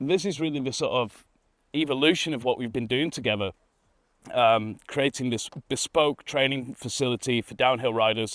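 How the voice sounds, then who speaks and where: A man with a Manchester accent talks at a fairly quick pace and medium pitch, with ordinary pitch variation. The recording is very clean with a silent background, the sound dry and close with no echo. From northern England, Manchester. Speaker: mountain bike trail builder. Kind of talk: documentary interview.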